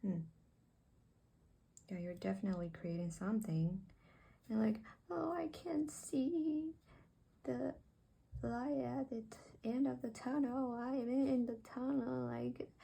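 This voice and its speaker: A woman's fairly high, somewhat breathy voice at a fairly slow pace, with very wide pitch swings and long, frequent pauses. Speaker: tarot reader. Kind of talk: tarot reading to camera. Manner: halting; soft-spoken.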